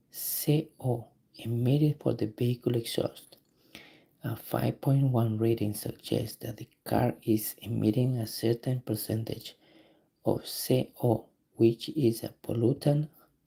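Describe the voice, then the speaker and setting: In a non-native accent, a man talks at a medium pitch with a dark, mellow, somewhat breathy tone and fairly even intonation. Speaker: auto mechanic streamer. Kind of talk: live stream tutorial, reading test questions aloud. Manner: halting.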